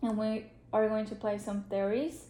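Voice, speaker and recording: A woman's voice with a dark, mellow tone carries audible room echo. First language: Spanish. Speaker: social work student. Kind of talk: role-play counseling session.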